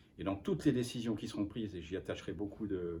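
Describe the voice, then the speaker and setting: Speaking at a fairly quick pace, a man uses a fairly low pitch and a dark, mellow tone that is somewhat breathy. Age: 60s. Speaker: football official. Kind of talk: interview. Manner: halting.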